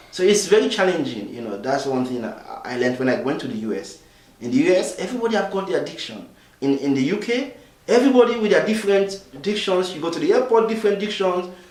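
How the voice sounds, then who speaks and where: Amid noticeable background noise and audible room echo, a man talks very fast in a high voice with very wide pitch swings. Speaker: refugee volunteer interviewee. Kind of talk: interview testimony. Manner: hesitant, many fillers.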